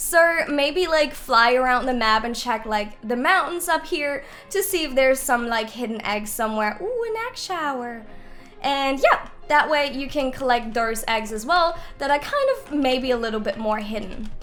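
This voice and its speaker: A woman with a high pitch speaks at a moderate pace in an animated tone. Her intonation is lively. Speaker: gaming youtuber. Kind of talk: gameplay tutorial. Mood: upbeat, casual. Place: home room.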